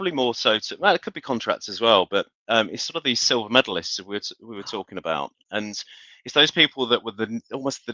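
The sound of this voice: A man with a fairly low pitch talks fast in a bright, sharp tone with big pitch swings. The sound is dry and close with no echo.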